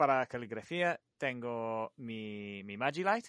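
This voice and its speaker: A man talks with lively intonation. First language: English (speaking Spanish). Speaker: light painting artist. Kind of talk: interview. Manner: halting.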